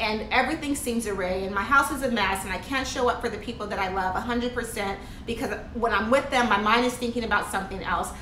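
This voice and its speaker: Light background noise and audible room echo surround a woman speaking at a fairly quick pace. Her pitch varies in an ordinary way. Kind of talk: motivational vlog talk. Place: home room. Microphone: phone near.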